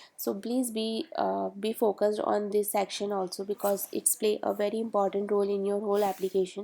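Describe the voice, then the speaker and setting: In a non-native accent, a woman speaks fairly quickly with hardly any pauses, using a dark, mellow tone, medium pitch and fairly even intonation. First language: not English. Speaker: study-abroad advice youtuber. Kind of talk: tutorial. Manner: halting, many fillers.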